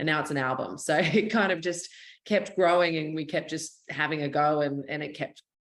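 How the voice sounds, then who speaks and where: With an Australian accent, a woman speaks at a moderate pace. Her pitch is very deep and low, with ordinary variation. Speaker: country singer-songwriter. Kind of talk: interview.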